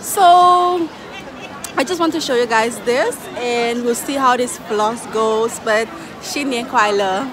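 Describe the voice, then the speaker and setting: A woman's high voice with lively intonation and a very slow pace, dry with no echo, crowd noise in the background. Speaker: vlogger. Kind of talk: casual vlog chat. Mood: excited, cheerful. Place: street. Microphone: phone near.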